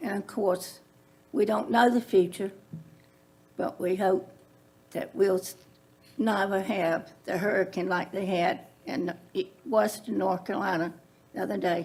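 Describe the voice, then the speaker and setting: Speaking fairly slowly, a woman talks with a Central Virginia accent. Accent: Central Virginia Southern US. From Virginia (Prince Edward County). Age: 70s. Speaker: public commenter, landowner. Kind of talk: public comment at county meeting.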